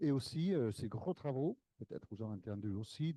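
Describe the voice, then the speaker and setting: Recorded with a dry, close sound and no echo, a man speaks at a medium pitch with a dark, mellow tone and lively intonation. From Italy. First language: Italian (speaking French). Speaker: geology professor. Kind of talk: lecture. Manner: halting.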